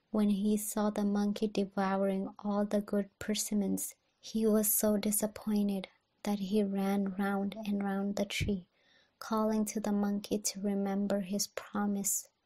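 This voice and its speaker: In a very clean recording with a silent background, a woman whispers, soft-spoken and somewhat breathy, at a fairly slow pace and very even loudness. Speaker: ASMR reader. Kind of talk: ASMR bedtime story reading. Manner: soft-spoken, whispery.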